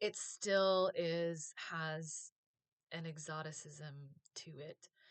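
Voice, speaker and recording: Ordinary pitch variation and an American accent in a plain, everyday voice. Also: woman. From US. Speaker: vlogger, former teacher. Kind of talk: casual vlog monologue.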